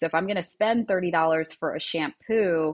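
This is a woman's voice. Her intonation stays fairly even. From US Northeast, Long Island, New York. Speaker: brand founder and CEO. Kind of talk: casual interview chat. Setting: video call from Miami.

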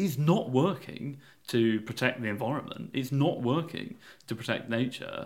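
A Yorkshire accent with ordinary pitch variation. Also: man. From Yorkshire, England. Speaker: campaign group founder. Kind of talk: podcast interview. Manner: hesitant, with fillers and repetitions.

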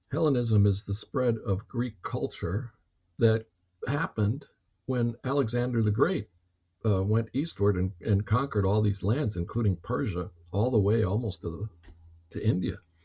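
A man's medium-pitched, somewhat breathy voice at a moderate pace, with ordinary pitch variation. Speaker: history professor. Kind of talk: lecture-style conversation. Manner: explanatory, professorial.

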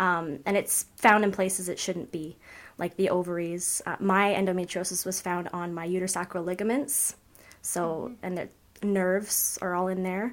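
A woman with a Canadian accent and a plain, everyday voice, medium in pitch, at a moderate pace with fairly even intonation. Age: 20s. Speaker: patient advocate. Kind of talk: casual interview chat.

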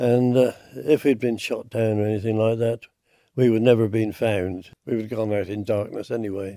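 A hoarse man with a dark, mellow tone, fairly low pitch and little pitch movement. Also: moderate pace.

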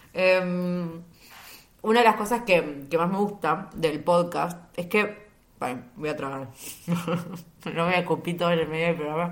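Fairly slow speech in a Rioplatense accent, with audible room echo. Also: woman, fairly low pitch for a woman, ordinary pitch variation. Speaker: podcast host. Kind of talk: casual solo monologue.

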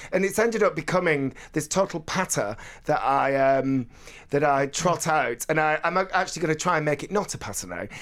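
Speaking at a fairly quick pace, a man uses a northern English accent and a fairly high pitch with ordinary pitch variation. The recording is very clean, with a silent background. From northern England. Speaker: radio presenter and novelist. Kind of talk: casual chat. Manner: fast talker; energetic.

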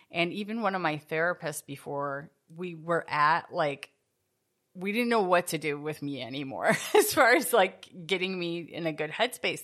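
A woman's fairly low voice, an unremarkable speaking voice, with lively intonation at a moderate pace over a quiet background. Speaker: podcast host. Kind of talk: casual chat.

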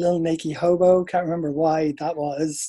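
A man with an Irish accent, fairly high pitch, a dark, mellow tone and fairly even intonation. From Ireland, Dublin. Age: 30s. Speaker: dancer and choreographer. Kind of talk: casual chat.

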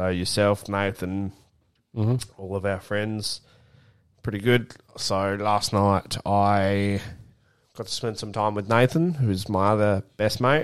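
Very slow and marked by long, frequent pauses, a man speaks with an Australian accent in a fairly low voice. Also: very clean recording, silent background. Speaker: podcast co-host. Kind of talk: casual chat. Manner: animated.

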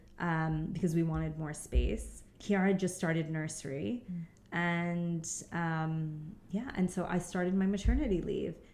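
A woman talks with a New York accent at a fairly low pitch. Her intonation is fairly even and her pace fairly slow. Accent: New York American. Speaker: stay-at-home mother. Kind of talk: casual interview chat.

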